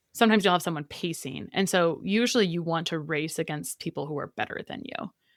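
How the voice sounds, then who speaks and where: The delivery is very fast and animated, recorded with a dry, close sound with no echo and a very clean, silent background. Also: woman, fairly low pitch for a woman, lively intonation. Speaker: dietitian and nutritionist. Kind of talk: interview conversation.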